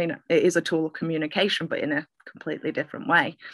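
A woman speaks very fast with a Mancunian accent, her pitch fairly low. The recording is very clean, with a silent background. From Manchester, northern England. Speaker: poet. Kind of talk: casual interview chat.

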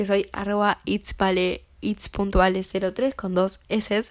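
A woman with a Uruguayan accent speaks at a medium pitch. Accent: Rioplatense Spanish (Uruguayan). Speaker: podcast host. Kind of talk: casual monologue.

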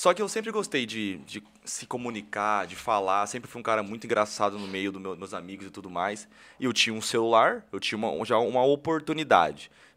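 A man's bright, sharp, fairly low voice at a fairly quick pace, with ordinary pitch variation and big swings in loudness, on a very clean recording with a silent background. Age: 20s. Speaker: social media influencer and entrepreneur. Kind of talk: casual interview chat.

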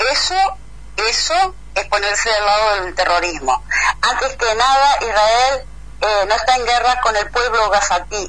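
A woman talks at a fairly slow pace with lively intonation and a fairly high pitch. It is an ordinary speaking voice. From Argentina, Entre Ríos. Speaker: agronomist, letter writer. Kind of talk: interview.

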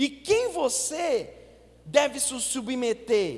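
A man's animated tone with very wide pitch swings. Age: 40s. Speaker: pastor. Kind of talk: sermon. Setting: church with congregation.

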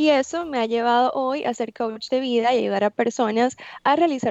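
A woman with a normal speaking voice, fairly high in pitch, at a moderate pace with fairly even intonation. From Venezuela. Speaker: life coach. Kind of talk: interview.

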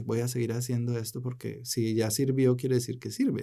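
The man talks in a dark, mellow tone at a medium pitch. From Colombia. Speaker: small business development director. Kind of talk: interview.

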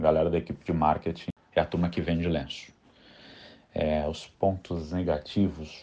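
A man with a very deep, low pitch and a dark, mellow tone talks at a moderate pace in a monotone, flat intonation, with long, frequent pauses over a quiet background. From São Paulo city, south zone, Brazil. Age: 30s. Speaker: marketing professional. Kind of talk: interview.

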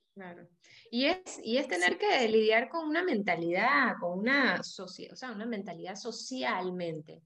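A woman's fairly high voice at a fairly slow pace, with very wide pitch swings and big swings in loudness. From Panama. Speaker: podcast co-host. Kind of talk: interview. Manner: halting.

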